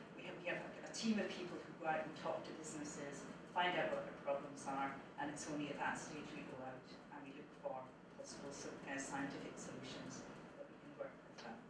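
A fairly quick-paced woman amid loud background noise and audible room echo. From Scotland. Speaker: supercomputing centre director. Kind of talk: conference talk. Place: classroom.

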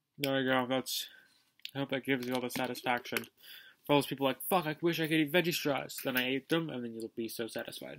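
Against a quiet background, a man talks at a fairly quick pace. His intonation stays fairly even. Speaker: vlogger. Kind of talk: casual vlog chat. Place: home room. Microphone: webcam.

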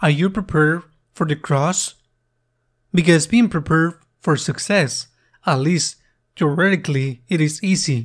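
A man speaks with a fairly high pitch and ordinary pitch variation. His loudness is very even, broken by long, frequent pauses. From Spain. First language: Spanish. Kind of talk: homily at Mass, earnest preaching. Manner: earnest, slow and deliberate; reflective, repeats questions for emphasis.

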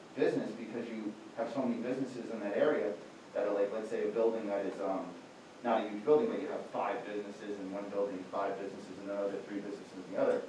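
Over light background noise and audible room echo, a man talks at a very fast pace with ordinary pitch variation. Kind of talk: explaining case at public meeting. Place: meeting room. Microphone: camera far.

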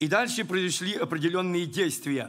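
A man's high-pitched voice with ordinary pitch variation and audible room echo. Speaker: preacher. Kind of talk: sermon.

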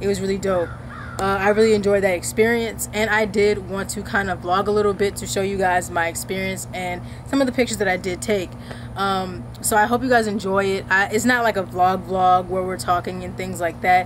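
A woman speaks fairly quickly against light background noise. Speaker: content creator. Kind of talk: casual vlog chat. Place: garden.

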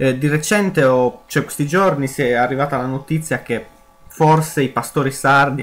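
Music plays in the background as a man talks at medium pitch. His pace is moderate, his intonation fairly even. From Sardinia, Italy. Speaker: gaming youtuber. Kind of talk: let's play commentary.

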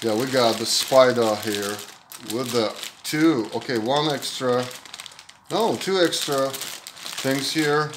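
A man speaking at a slow pace, with audible room echo. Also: fairly bright tone.

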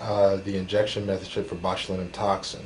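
Light background noise runs under a man's voice. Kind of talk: medical demonstration. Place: office.

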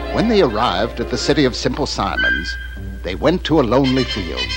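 A man talks at a fairly quick pace in a medium pitch, with very wide pitch swings. Clear music plays in the background.

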